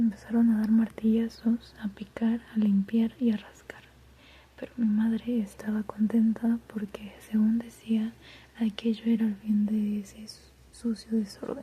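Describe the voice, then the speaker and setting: Soft-spoken and gentle in tone, a woman talks at a fairly slow pace. Her fairly high voice stays in a monotone, flat intonation. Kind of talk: literary reading of a novella. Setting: reading aloud while doing homework in the background. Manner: soft-spoken, gentle, relaxing.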